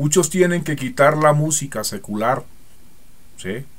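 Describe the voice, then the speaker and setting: Audible room echo surrounds a man's voice. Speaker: preacher. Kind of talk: sermon. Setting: church.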